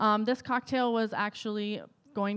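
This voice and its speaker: Fairly quick and fairly high-pitched, a woman's voice comes through. The recording is very clean, with a silent background. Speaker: bartender and sustainability coordinator. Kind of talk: conference panel presentation. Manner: hesitant with many fillers.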